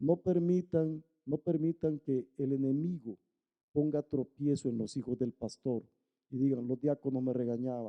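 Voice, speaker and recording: With ordinary pitch variation and a fairly high pitch, a man talks in an unremarkable speaking voice. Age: 60s. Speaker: pastor. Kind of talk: sermon.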